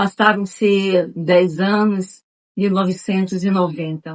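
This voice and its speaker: Speaking at a very slow pace, a woman uses a medium pitch and fairly even intonation, with a dry, close sound and no echo. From Bahia, Brazil (Nilo Peçanha). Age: 60s. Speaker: retired schoolteacher. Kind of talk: oral history interview.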